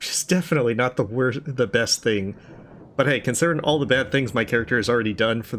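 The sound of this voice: Ordinary pitch variation from an unforced reading voice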